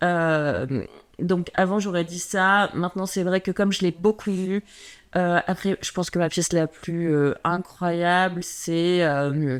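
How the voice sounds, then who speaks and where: In a very clean recording with a silent background, a woman with a fairly low voice speaks at a very slow pace with fairly even intonation. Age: 30s. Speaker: personal stylist. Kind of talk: casual chat.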